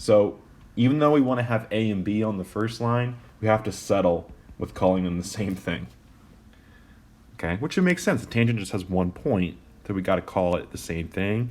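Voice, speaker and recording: The pace is moderate, broken by long, frequent pauses. Pitch varies in an ordinary way. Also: man, fairly low pitch for a man. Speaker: math teacher. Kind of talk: tutorial. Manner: casual, with fillers.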